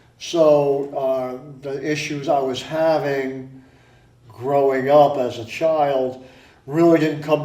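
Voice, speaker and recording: A man with an American accent and fairly high pitch speaks at a very slow pace in a flat monotone, with audible room echo. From Connecticut, Stratford. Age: 60s. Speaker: retired technician, support group founder. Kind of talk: interview.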